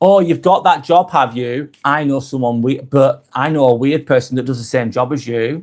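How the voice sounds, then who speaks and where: A man's medium-pitched voice at a moderate pace, with ordinary pitch variation and hardly any pauses. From northwest England. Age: 40s. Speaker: live vlogger. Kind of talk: live stream monologue. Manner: casual.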